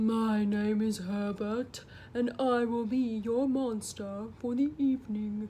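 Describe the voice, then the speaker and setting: A female-sounding voice performs a put-on character voice, fairly high in pitch. It moves at a fairly slow pace over clear background noise. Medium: read story. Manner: polite, mild.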